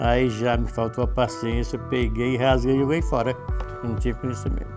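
A man speaks at a moderate pace. Behind him, clear music plays in the background. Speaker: workshop owner, course student. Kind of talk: testimonial interview answer. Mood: calm, pleased. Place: classroom. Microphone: lapel.

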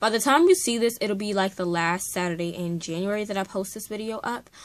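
Delivery moves at a moderate pace. The intonation is fairly even throughout. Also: woman. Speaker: book vlogger. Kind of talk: casual vlog chat. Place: home room. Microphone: webcam.

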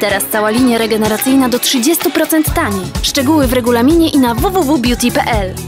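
A woman with a high voice speaks with lively intonation in a dry sound with no echo, with clear music in the background. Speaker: voice actor. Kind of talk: TV commercial read. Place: studio. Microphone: studio mic.

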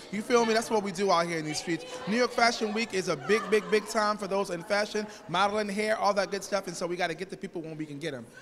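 Over noticeable background noise, a man with a high pitch talks at a very fast pace with hardly any pauses and ordinary pitch variation. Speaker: co-host and musician; co-host. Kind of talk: red carpet interviews. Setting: event venue. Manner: animated. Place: hall. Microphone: handheld.

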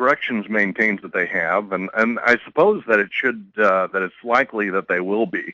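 This man's voice has a bright, sharp tone at a moderate pace, with a dry sound, no echo and a quiet background. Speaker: political columnist. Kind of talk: radio interview. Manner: halting. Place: studio. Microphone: studio mic.

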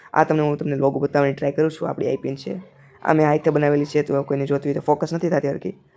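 This man's voice has a dark, mellow tone and sits at a fairly high pitch. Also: fairly even intonation. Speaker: vlogger. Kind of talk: casual vlog. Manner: rambling.

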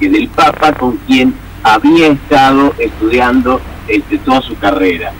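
A man speaks at a fairly slow pace, and noticeable background noise sits behind him. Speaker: film producer. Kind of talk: radio phone interview. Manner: halting, many fillers.

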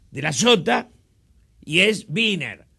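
Against a quiet background, a man projects a raised voice with a bright, sharp tone and ordinary pitch variation. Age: 70s. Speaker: politician. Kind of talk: interview. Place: studio. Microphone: lapel.

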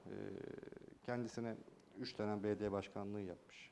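A man talks at a fairly quick pace in a dark, mellow tone. Light background noise sits behind him. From Turkey, Yalova (Çiftlikköy); Turkey. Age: 30s. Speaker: mayoral candidate, former journalist; candidate. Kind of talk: TV interview. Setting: TV studio. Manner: hesitant, many filler sounds. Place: studio. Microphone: lapel.

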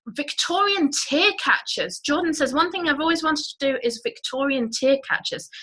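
Against a quiet background, a woman with a high pitch and a bright, sharp tone projects her raised voice at a moderate pace, with very wide pitch swings and hardly any pauses. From Guernsey, Channel Islands. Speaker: online business educator. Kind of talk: live webinar presentation. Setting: live video call stream. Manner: animated. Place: home room. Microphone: webcam.

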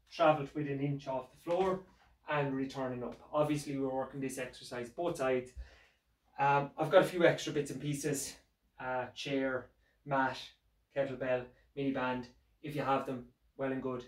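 The delivery is monotone and flat at a moderate pace, broken by long, frequent pauses. Room echo is audible. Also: man, quiet background. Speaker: fitness instructor. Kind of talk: tutorial. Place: home room. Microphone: camera far.

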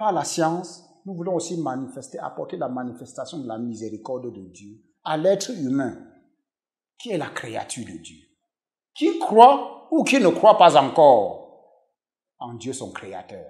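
Against a quiet background, a man with fairly high pitch and vocal fry makes very wide pitch swings and big swings in loudness. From western Cameroon. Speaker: professor and pastor; professor, pastor. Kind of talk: interview testimony. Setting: TV studio. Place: home room. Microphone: lapel.

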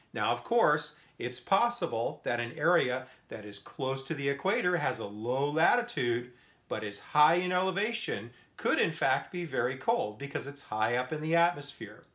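A man's bright, sharp voice moves at a moderate pace. His pitch swings very widely. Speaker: science teacher. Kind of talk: lecture. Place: home room. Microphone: phone near.

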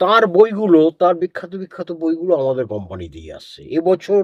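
Using ordinary pitch variation, a man speaks at a high pitch. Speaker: publisher. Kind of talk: interview. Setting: studio.

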